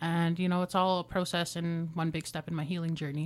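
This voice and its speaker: A woman with a Canadian accent speaks in an ordinary speaking voice, her fairly low pitch and fairly even intonation captured on a very clean recording with a silent background. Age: 20s. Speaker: former youth in care, student. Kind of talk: personal testimony in interview. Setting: radio studio.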